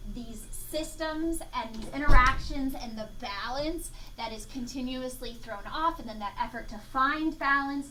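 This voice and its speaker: A woman with a high-pitched, raised and projected voice talks at a fairly slow pace with hardly any pauses, ordinary pitch variation and big swings in loudness, over noticeable background noise and audible room echo. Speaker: entomology professor. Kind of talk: lecture.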